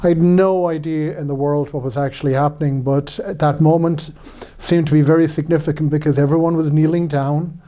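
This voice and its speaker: A man with an Irish accent talks at a fairly quick pace in a fairly high pitch, his intonation monotone and flat. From Ireland. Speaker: priest. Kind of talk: personal testimony talk. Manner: hesitant, many fillers.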